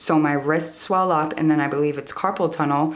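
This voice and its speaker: A woman with a very deep, low pitch talks with audible room echo around her. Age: 20s. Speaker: stained glass artist, YouTuber. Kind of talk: tutorial. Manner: animated.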